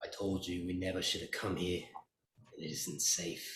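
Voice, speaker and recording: A man puts on a character voice that is guttural and raspy with a very deep, low pitch. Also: moderate pace. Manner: fearful, warning.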